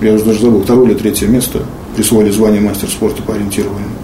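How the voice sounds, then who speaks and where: Fairly low-pitched, a man speaks at a very fast pace in a monotone, flat intonation with very even loudness. Noticeable background noise and audible room echo are present. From Russia, Pskov. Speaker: wheelchair athlete, arm-wrestler. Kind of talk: interview. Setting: at home. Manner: halting.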